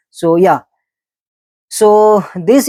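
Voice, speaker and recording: The speech moves at a very slow pace. It comes in a Pakistani accent. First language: Urdu. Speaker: Islamic speaker. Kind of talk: religious talk. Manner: halting.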